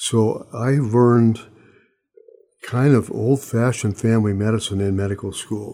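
With an American accent and a dark, mellow tone, this speaker keeps a moderate pace and fairly even intonation, leaving long, frequent pauses. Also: man, medium pitch for a man. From Montana, US. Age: 80s. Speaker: retired surgeon. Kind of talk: interview, reflective conversation.

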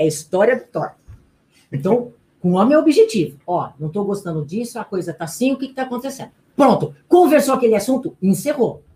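With very wide pitch swings and a dark, mellow tone, a woman talks at a fairly quick pace in a high voice. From Brazil, interior of São Paulo state (Garça). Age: 50s. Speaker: relationship coach and speaker. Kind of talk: radio interview. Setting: radio studio, live.

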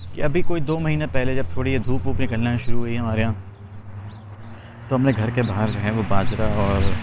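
A man's medium-pitched voice shows ordinary pitch variation. Audible room echo and noticeable background noise accompany him. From Pakistan. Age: 30s. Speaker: life coach. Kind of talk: casual monologue while walking. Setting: outdoors on a walk.

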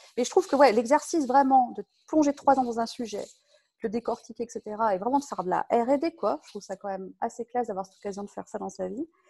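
Very fast and lively, a woman speaks at a fairly high pitch with a dark, mellow tone and big swings in loudness, the sound dry and close with no echo. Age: 40s. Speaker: software tech lead. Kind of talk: casual interview.

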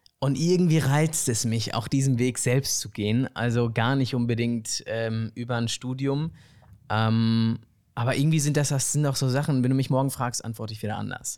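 A man with a plain, everyday voice speaks at medium pitch and a moderate pace, his intonation fairly even. The recording is very clean, with a silent background. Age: 20s. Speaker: student filmmaker and actor. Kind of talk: casual chat. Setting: living room couch.

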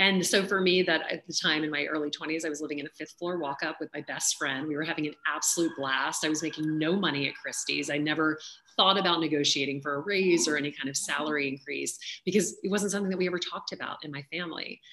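In an American accent, a woman speaks very fast with a very deep, low pitch. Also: fairly even intonation. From US South, Louisiana. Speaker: auctioneer and author. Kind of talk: interview conversation.

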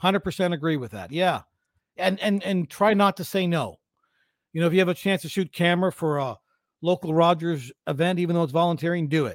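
With a Canadian accent, a man talks at a high pitch and a fairly quick pace, with ordinary pitch variation. The recording is very clean, with a silent background and a dry, close sound with no echo. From London, Ontario, Canada. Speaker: sports broadcaster and teacher. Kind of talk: casual interview.

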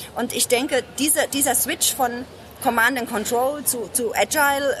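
Music plays in the background. A woman speaks with a high pitch. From Germany, Ludwigshafen (Palatinate). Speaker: business consultant, speaker and lawyer. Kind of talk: casual interview. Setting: book fair.

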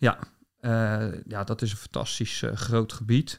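In a very clean recording with a silent background, a man speaks at a fairly slow pace in a medium-pitched, monotone, flat voice. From Netherlands, southwest Delta region. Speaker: ecologist and bird researcher. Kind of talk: interview.

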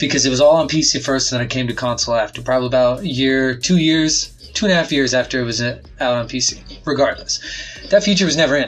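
A man talks at a very fast pace with a medium pitch and ordinary pitch variation. Music plays in the background. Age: 30s. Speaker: part-time podcast co-host. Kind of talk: casual chat.

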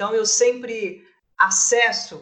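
A woman speaking at a very slow pace. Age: 50s. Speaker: entrepreneur and startup mentor. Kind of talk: casual panel discussion.

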